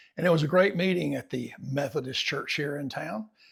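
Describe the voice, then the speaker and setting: Relaxed in tone, this speaker uses an Alabama accent with vocal fry and lively intonation at a moderate pace, on a very clean recording with a silent background. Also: man. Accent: Southern US (Alabama). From US South, eastern Alabama. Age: 70s. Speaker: writer and farmer vlogger. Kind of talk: reflective personal vlog. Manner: relaxed, conversational.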